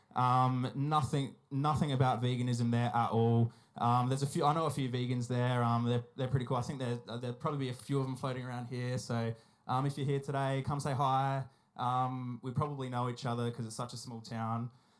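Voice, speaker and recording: Delivered at a fairly quick pace in an Australian accent, the speech stays monotone and flat. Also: man, medium pitch for a man. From South Australia, Whyalla. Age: 20s. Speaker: animal rights activist. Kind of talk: public talk at a festival. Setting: stage with audience. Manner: hesitant, many fillers.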